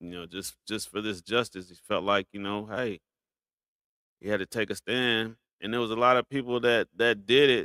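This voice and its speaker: Here a man talks at a moderate pace in an unremarkable speaking voice, medium in pitch with fairly even intonation. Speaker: YouTube reaction streamer. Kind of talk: live stream commentary.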